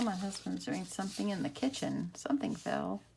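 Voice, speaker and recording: A woman's moderately paced speech is heard over noticeable background noise. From Texas. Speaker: craft YouTuber. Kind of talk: craft tutorial. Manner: casual, chatty.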